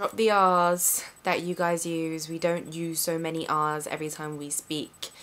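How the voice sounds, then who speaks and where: A woman with a London accent and a fairly low voice speaks at a fairly slow pace in a very clean recording with a silent background. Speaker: vlogger. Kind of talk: casual talk to camera.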